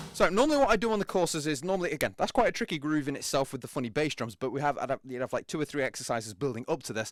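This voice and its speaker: A man's very fast speech at a fairly high pitch with very wide pitch swings, dry and close with no echo, on a very clean recording with a silent background. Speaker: drum teacher. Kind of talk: tutorial. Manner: casual.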